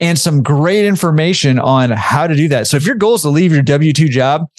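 An unremarkable speaking voice, a man's, fairly high-pitched with lively intonation. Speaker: podcast host.

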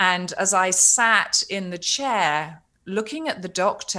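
A woman with a British accent speaks in a bright, sharp tone. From Britain. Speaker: cancer survivor and author. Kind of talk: casual interview.

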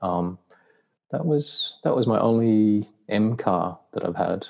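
Here a man speaks with an Australian accent. His pitch is fairly low. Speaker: car owner. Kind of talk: casual chat. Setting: video call.

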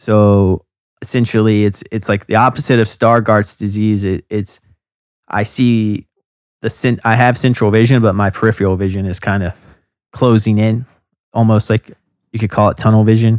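A man with a fairly low pitch talks at a moderate pace in a flat monotone, with long, frequent pauses. The recording is very clean, with a silent background. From US South, North Carolina (Hope Mills, near Fayetteville). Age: 30s. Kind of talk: interview, casual chat. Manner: hesitant, many fillers and repeats.

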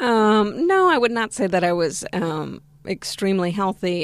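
Speaking with an American accent in a normal speaking voice, a woman goes at a fairly slow pace with fairly even intonation. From West Virginia, US, in a Spanish-speaking Argentine family. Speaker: vegan diet success story guest. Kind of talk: interview.

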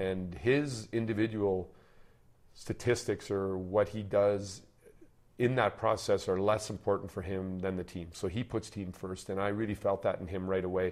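This is a normal speaking voice with a Canadian accent. It keeps a moderate pace and fairly even intonation. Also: man, fairly low pitch for a man. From Canada, Manitoba (Steinbach/Winnipeg). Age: 60s. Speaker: hockey coach. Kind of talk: interview.

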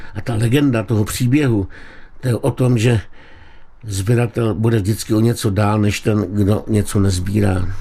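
A man speaks at a fairly slow pace in a fairly low pitch, his tone dark and mellow and somewhat breathy. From Czechia, Liberec region. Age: 70s. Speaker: writer and collector. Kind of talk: radio interview.

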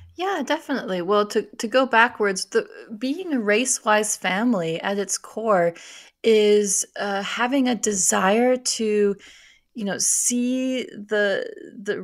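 A woman in an American accent speaks in a plain, everyday voice, fairly high-pitched, with ordinary pitch variation. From US Midwest, Minnesota. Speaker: author and church scholar. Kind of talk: radio interview.

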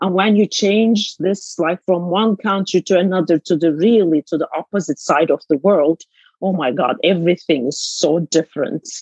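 A woman's fairly low voice in a Turkish accent at a moderate pace, with ordinary pitch variation and a dry, close sound with no echo. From Istanbul, Turkey. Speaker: author and business consultant. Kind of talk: interview conversation.

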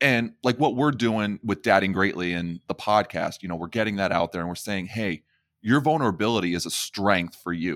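Recorded very cleanly against a silent background, a man with a normal speaking voice and fairly low pitch talks at a moderate pace with ordinary pitch variation. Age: 30s. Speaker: podcast host. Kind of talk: casual interview chat.

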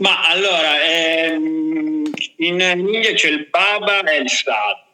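A man talks at a fairly high pitch. His pitch variation is ordinary. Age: 20s. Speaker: travel writer. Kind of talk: casual interview. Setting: live stream.

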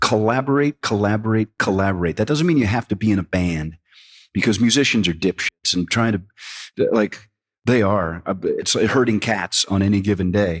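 A man talks in a normal speaking voice at a fairly low pitch and a moderate pace, with ordinary pitch variation. The sound is dry and close with no echo, on a very clean recording with a silent background. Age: 50s. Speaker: singer-songwriter and musician. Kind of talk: casual interview chat.

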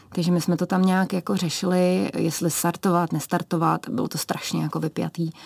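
A woman talks at a fairly quick pace with vocal fry. The sound is dry and close with no echo, on a very clean recording with a silent background. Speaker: ski cross athlete. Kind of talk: radio interview. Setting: radio studio.

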